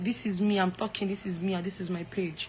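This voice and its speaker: Over noticeable background noise, a woman talks at a very fast pace with a medium pitch and monotone, flat intonation. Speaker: live streamer. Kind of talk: casual chat. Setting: live stream.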